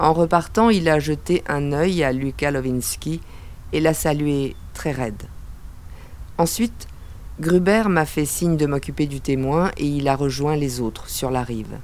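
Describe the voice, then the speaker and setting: Her pitch is very deep and low for a woman, and her pace is fairly slow. The woman leaves long, frequent pauses. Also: ordinary pitch variation. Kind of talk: noir first-person narration. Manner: terse, hard-boiled.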